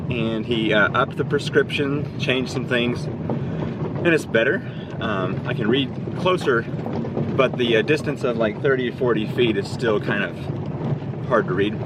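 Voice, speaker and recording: Pitch varies in an ordinary way. Noticeable background noise runs under the voice. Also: man, medium pitch for a man. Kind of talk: casual vlog talk to camera.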